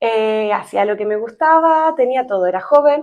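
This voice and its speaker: Against a quiet background, a woman speaks with an Argentine accent. Her pitch is fairly high, with ordinary variation. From Argentina. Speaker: psychologist, podcast co-host. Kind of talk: casual chat.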